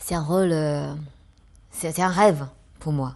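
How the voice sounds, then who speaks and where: Very slowly, a woman speaks in a very deep, low voice with ordinary pitch variation. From China. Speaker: actress. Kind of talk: interview answer.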